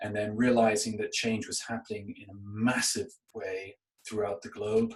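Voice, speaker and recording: Over music in the background, a man with a Canadian accent speaks at medium pitch in a monotone, flat intonation. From Canada. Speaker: podcast co-host. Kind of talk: casual chat. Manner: halting, many fillers.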